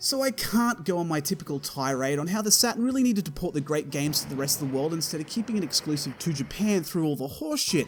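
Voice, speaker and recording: Over music in the background, a man talks at a very fast pace with hardly any pauses. His pitch is fairly high and his intonation lively. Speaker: video game reviewer. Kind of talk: scripted review narration. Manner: casual, profane, comedic.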